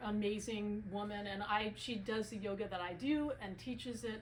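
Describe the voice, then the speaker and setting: Audible room echo colors the recording. The speaker is a woman. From US, Italian-American family. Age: 50s. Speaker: author and filmmaker. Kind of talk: book talk.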